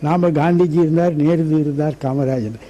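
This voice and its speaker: This is a man speaking. His pitch varies an ordinary amount. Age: 90s. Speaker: retired politician. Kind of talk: interview.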